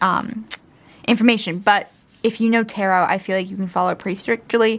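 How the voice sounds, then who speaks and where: A woman mumbles at a fairly quick pace, her pitch fairly high and her pitch variation ordinary. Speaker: tarot youtuber. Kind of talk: unboxing video. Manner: mumbling.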